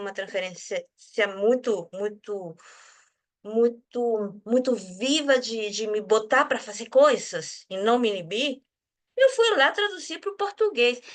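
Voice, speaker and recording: This woman's voice sits high, with lively intonation and big swings in loudness. She speaks at a fairly slow pace. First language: Spanish (speaking Portuguese). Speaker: research group leader and translator. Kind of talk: casual conversation. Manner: halting.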